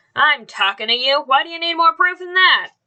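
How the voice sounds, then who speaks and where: A woman puts on a character voice at an extremely high pitch. She talks at a fairly quick pace with lively intonation. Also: big swings in loudness. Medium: read story. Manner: curt, gruff, contemptuous.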